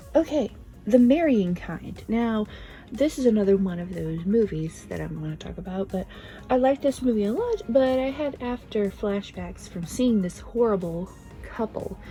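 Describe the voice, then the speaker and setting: A woman speaks quietly at a medium pitch. Her intonation is lively and her pace moderate. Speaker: video creator reviewing films. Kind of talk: casual recommendations vlog. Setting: at home, early morning. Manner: quiet, subdued.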